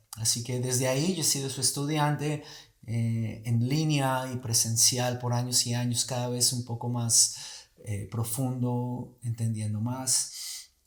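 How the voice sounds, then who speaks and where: This man's voice is somewhat breathy, sitting at a medium pitch. He talks at a very slow pace with fairly even intonation. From Colombia. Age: 40s. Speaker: movement teacher. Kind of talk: casual chat.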